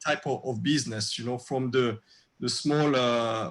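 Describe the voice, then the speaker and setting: A man in a French accent, medium in pitch, with fairly even intonation and a moderate pace. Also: very clean recording, silent background. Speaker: restaurateur. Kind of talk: casual chat. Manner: halting, many fillers.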